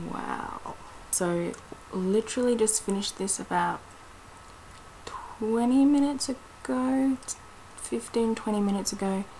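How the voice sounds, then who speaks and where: Over noticeable background noise, the speech moves at a fairly slow pace with long, frequent pauses and ordinary pitch variation. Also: woman, fairly high pitch for a woman. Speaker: book reviewer. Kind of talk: casual video review. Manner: quiet, not talking loud.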